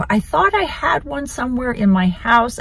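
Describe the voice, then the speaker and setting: A woman's lively intonation and moderate pace come through noticeable background noise. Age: 60s. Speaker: lifestyle vlogger. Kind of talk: casual vlog talk to camera.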